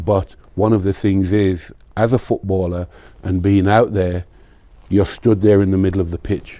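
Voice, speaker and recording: A man speaks in a very deep, low voice with a dark, mellow tone and monotone, flat intonation. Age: 60s. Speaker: former professional footballer. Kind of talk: interview.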